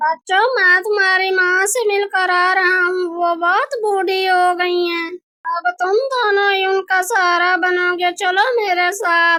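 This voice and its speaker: A woman does a cartoonish character voice at an extremely high pitch. She speaks at a fairly slow pace. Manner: warm, friendly.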